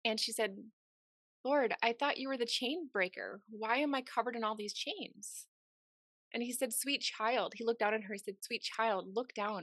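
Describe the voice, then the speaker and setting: In a plain, everyday voice, a woman speaks at a moderate pace and a fairly high pitch with ordinary pitch variation, the sound dry and close with no echo. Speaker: podcast host. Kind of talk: interview conversation, warm and motivational.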